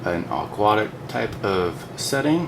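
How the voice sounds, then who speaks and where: A man speaks quietly at a fairly low pitch. Audible room echo and noticeable background noise surround him. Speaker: toy collector reviewer. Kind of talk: product review. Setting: at home. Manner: kept low and quiet; subdued, less excited than he feels.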